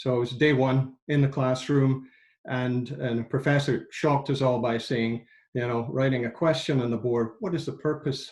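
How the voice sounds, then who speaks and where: In a Scottish accent, a man talks at a moderate pace with a medium pitch, fairly even intonation and a somewhat breathy voice. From Scotland, industrial central belt. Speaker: engineer and climate nonprofit director. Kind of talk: interview conversation. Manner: halting, many repetitions.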